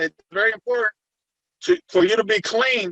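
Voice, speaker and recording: In a Puerto Rican accent, a man talks at a fairly slow pace. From Puerto Rico. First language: Spanish. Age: 50s. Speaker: retired federal agent turned private investigator. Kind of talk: interview. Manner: halting.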